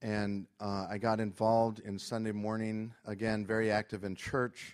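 A normal speaking voice in an American accent moves at a fairly slow pace on a very clean recording with a silent background. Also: man. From Florida and Venezuela. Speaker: missionary. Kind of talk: testimony. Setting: church service with congregation.

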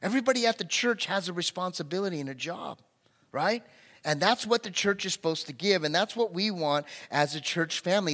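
Delivery is fairly quick, animated and lively in intonation, with a bright, sharp tone. The recording is very clean, the background silent. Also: man. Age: 50s. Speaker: pastor. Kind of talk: sermon. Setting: church.

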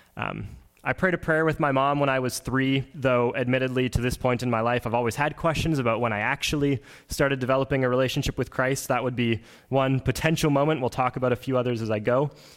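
A man talks very fast at a medium pitch. His intonation is fairly even and his loudness very even. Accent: Canadian Prairie. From Manitoba, Canada (Oakbank, rural). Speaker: pastoral candidate, worship leader. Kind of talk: sermon.

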